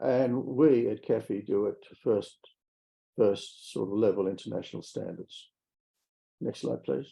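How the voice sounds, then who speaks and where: Speaking with an Australian accent, a man at medium pitch goes at a fairly slow pace with long, frequent pauses, big swings in loudness, ordinary pitch variation and a dark, mellow tone. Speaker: mining company executive. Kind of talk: investor presentation.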